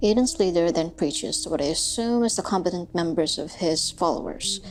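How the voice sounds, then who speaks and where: Music plays in the background. A woman speaks at a fairly quick pace with a fairly low pitch. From Philippines. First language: Filipino. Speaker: youtuber, musician and writer. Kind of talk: video essay. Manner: sometimes mispronounces words.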